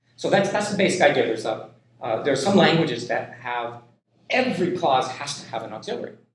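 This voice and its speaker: Using very wide pitch swings and big swings in loudness, a man with a fairly high pitch and an American accent is heard with audible room echo. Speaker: linguistics professor. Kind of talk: lecture. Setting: classroom. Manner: slow, deliberate pace; halting, many repetitions.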